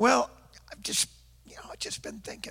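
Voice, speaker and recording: In a raspy, put-on character voice, the speaker talks at a moderate pace. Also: man. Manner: tentative, hesitant.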